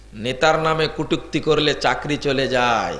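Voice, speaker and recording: A man's voice with audible room echo. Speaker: Islamic preacher. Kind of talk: sermon. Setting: religious gathering with audience. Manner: animated.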